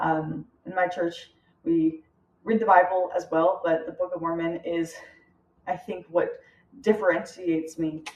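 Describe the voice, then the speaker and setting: A woman with an American accent talks at a moderate pace, her pitch fairly low and her intonation fairly even. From United States. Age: young. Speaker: student. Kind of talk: class presentation. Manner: hesitant, many fillers.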